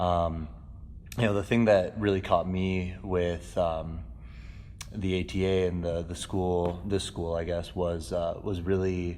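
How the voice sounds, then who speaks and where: Audible room echo surrounds a man with a very deep, low voice. He talks at a fairly slow pace with fairly even intonation. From New York (South Bronx), moved to Minnesota at ten. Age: 20s. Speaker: martial arts instructor. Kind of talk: interview. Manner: hesitant with many fillers.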